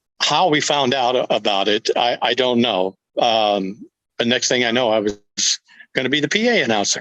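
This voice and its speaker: This is an ordinary speaking voice. A man talks at medium pitch and a moderate pace with very even loudness. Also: ordinary pitch variation, dry, close sound with no echo. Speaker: former radio disc jockey and PA announcer. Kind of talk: interview answer.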